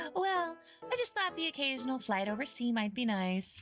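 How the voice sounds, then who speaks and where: A woman uses a nasal, high-pitched put-on character voice with very wide pitch swings. She keeps a moderate pace over clear music in the background. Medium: virtual streamer. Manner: haughty, offhand.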